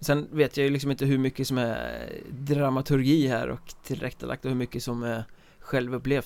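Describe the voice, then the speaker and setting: A man talks at a moderate pace in medium pitch with fairly even intonation. He has an ordinary speaking voice. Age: 30s. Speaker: podcast host. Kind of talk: casual chat.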